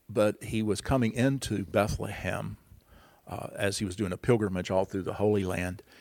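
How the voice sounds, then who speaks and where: In a very clean recording with a silent background, a man speaks at a moderate pace in a relaxed tone, his fairly low voice carrying vocal fry. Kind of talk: casual radio conversation explaining Christmas customs. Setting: radio studio. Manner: relaxed, explanatory, humorous.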